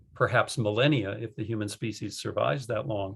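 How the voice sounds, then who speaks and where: Recorded very cleanly against a silent background, a man with an American accent talks at a fairly quick pace and a medium pitch, sounding somewhat breathy. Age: 60s. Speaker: retired professor. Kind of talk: interview. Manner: emphatic, uses repetition.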